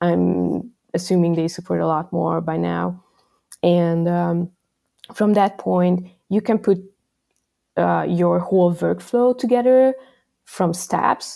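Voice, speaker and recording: Very slow, with long, frequent pauses, the speech comes in a Hungarian accent on a very clean recording with a silent background. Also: woman. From Hungary. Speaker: software developer. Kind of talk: interview. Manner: casual, frequent fillers.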